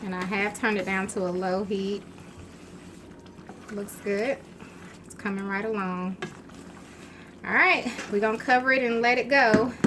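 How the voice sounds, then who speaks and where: A woman of medium pitch speaks at a moderate pace with fairly even intonation, big swings in loudness, long and frequent pauses, and audible room echo. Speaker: home cooking channel host. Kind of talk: cooking tutorial. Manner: casual, chatty with fillers.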